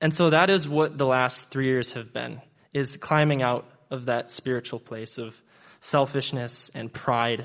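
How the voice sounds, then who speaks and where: Against a quiet background, a man with an ordinary speaking voice talks at a fairly slow pace, with medium pitch and fairly even intonation. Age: 20s. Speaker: church member giving baptism testimony. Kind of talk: testimony.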